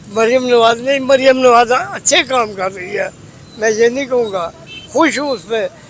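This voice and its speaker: Noticeable background noise sits behind a man with an extremely high pitch. His pitch moves in an ordinary way. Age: old. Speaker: day labourer. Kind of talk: street interview answer. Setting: outdoors.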